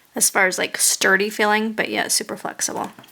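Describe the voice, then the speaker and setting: Over noticeable background noise, a woman speaks at fairly high pitch in a relaxed tone. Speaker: sculpting tutorial maker. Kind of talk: tutorial. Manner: casual, relaxed.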